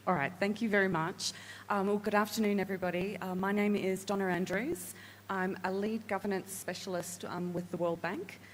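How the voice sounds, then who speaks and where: Speaking at a fairly quick pace, a woman with a medium-pitched voice keeps her intonation fairly even. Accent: Australian. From Australia. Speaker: governance specialist. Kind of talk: panel introduction. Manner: hesitant, many fillers.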